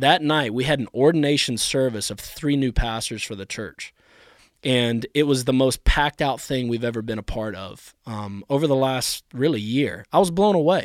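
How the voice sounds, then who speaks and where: With an American accent, a man at medium pitch talks at a moderate pace with ordinary pitch variation and big swings in loudness, in a dry, close sound with no echo. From US South (New Orleans and South Carolina). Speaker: pastor. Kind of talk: casual chat.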